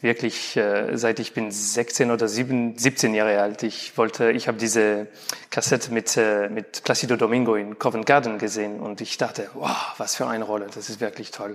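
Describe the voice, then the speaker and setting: Noticeable background noise surrounds a man speaking at a moderate pace. His medium-pitched voice has flat, monotone intonation. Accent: non-native. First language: not German (speaking German). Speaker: opera tenor. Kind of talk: interview. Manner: halting.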